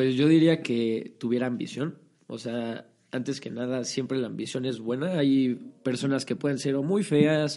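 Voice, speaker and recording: This is a man with a normal speaking voice. He talks at a moderate pace. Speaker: acting student. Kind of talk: casual chat.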